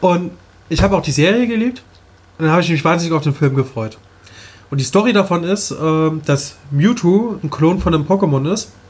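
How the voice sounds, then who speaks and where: A man speaks at a fairly quick pace in a high pitch, with lively intonation. He leaves long, frequent pauses. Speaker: podcast co-host. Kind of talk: casual chat. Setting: studio.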